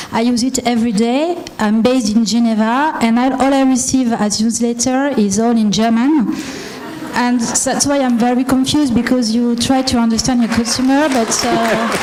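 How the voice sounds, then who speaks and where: In a French accent, a woman talks at a moderate pace with high pitch, fairly even intonation and very even loudness, amid noticeable background noise and audible room echo. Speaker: audience member. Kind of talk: audience question. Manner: halting.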